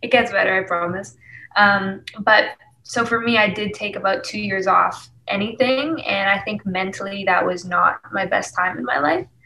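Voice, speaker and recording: Against noticeable background noise, a woman with a Canadian accent talks at a moderate pace with ordinary pitch variation. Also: medium pitch for a woman. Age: 20s. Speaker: singer-songwriter. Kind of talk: casual interview chat.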